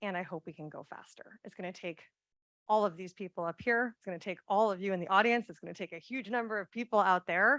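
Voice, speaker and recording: Over a quiet background, a woman talks very fast in a bright, sharp tone at medium pitch with ordinary pitch variation. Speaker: conservation nonprofit director. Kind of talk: panel closing remarks.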